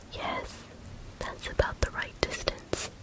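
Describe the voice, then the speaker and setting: Whispering over noticeable background noise. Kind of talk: whispered audiobook reading of a classic story. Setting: ASMR recording with close microphone, ear to ear. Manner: whispered, soft, relaxing.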